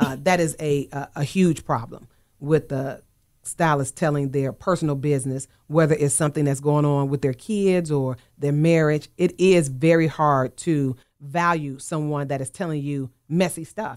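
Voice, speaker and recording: A very clean recording with a silent background captures speech delivered at a moderate pace. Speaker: radio show host and hair coach. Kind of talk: radio talk show discussion. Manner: calmer than before.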